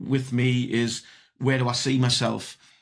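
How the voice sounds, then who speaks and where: A man speaks with a British accent at a medium pitch. The recording is very clean, with a silent background. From UK. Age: 60s. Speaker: entrepreneur. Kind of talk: podcast interview. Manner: halting, many repetitions.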